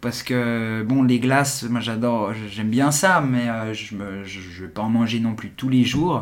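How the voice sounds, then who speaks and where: Very slow speech in a man's medium-pitched voice, set against noticeable background noise. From Geneva, Switzerland. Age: 40s. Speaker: entrepreneur. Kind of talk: casual interview. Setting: in person, office. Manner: halting, many repetitions.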